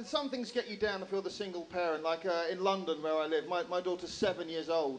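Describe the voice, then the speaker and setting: Against noticeable background noise, a man with a strong English accent talks very fast at a high pitch, with hardly any pauses. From England. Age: 30s. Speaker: stand-up comedian. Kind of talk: stand-up. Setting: stage with audience.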